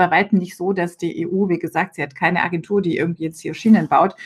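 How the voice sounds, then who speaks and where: A somewhat breathy woman speaks with ordinary pitch variation. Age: 40s. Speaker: member of European Parliament. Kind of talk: interview.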